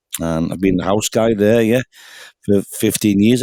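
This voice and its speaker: A dark, mellow voice with a Liverpool accent moves at a fairly quick pace. The sound is dry and close, with no echo. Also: man. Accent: Scouse. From England, Liverpool. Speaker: singer-songwriter, pub musician. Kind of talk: casual chat.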